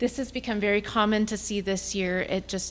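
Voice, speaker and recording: A woman speaks with vocal fry at a moderate pace. Her intonation is fairly even. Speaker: compensation consultant. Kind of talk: presentation to school board. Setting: public board meeting.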